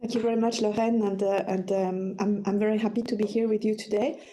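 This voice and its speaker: A somewhat breathy woman's voice, fairly high and dark, mellow in tone, with fairly even intonation and audible room echo. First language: French. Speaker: psychology professor and suicide researcher. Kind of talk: webinar lecture. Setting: online webinar, screen sharing. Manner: halting, many fillers and repetitions.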